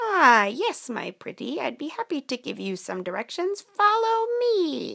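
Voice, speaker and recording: With very wide pitch swings, a woman uses a cartoonish character voice at an extremely high pitch and a fairly slow pace. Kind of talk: children's story puppet play. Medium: puppet show. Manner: sly, falsely sweet, cackling "my pretty".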